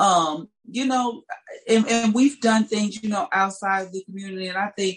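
A somewhat breathy woman speaks with an American accent and ordinary pitch variation. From St. Louis, Missouri, US Midwest. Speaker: singer and artist.

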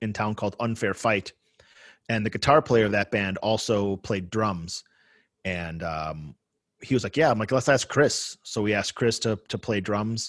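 With a plain, everyday voice and an American accent, a man talks at a fairly low pitch and a moderate pace with ordinary pitch variation, the sound dry and close with no echo against a quiet background. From Buffalo, New York, US. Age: 40s. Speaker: hardcore band musician. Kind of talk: casual interview chat.

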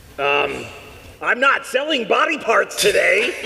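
This man is doing a put-on character voice. He delivers it at a fairly slow pace. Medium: actual play. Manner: laid-back, jokey.

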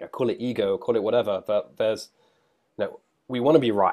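The background is silent and the recording very clean as a man talks. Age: 30s. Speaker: tech startup founder. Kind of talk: interview. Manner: halting.

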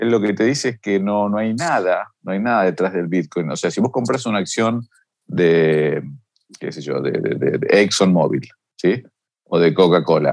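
With an Argentine accent, a man speaks fairly slowly at a fairly low pitch and with lively intonation. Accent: Argentine Spanish (Rioplatense). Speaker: financial markets expert. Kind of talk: interview.

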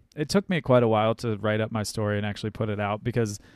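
A man with an American accent talks at a moderate pace and a fairly low pitch. The recording is very clean, with a silent background. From US Midwest, rural Ohio. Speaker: podcast host and musician. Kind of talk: casual interview chat. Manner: animated.

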